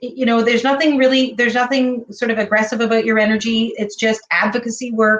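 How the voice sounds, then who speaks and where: At a fairly quick pace, a woman with a Canadian accent talks in an unremarkable speaking voice, her pitch fairly high and her intonation fairly even. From Ontario, Canada. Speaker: talk show host. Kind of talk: interview.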